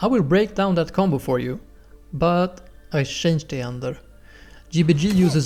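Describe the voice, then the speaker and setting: Speaking in a Swedish accent, a man moves at a fairly quick pace. His pitch varies in an ordinary way. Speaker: gaming tutorial creator. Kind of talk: tutorial. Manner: casual.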